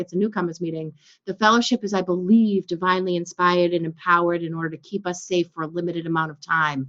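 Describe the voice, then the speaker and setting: A woman with an American accent at a very fast pace, with hardly any pauses, an animated, bright and sharp tone, and big swings in loudness. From US Northeast, Boston. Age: 50s. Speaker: recovery speaker. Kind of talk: testimony.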